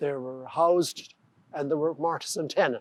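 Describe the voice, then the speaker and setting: In an Irish accent, a man speaks at a moderate pace with fairly high pitch and ordinary pitch variation, the sound dry and close with no echo. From Ireland. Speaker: carpenter and joiner. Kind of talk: interview answer.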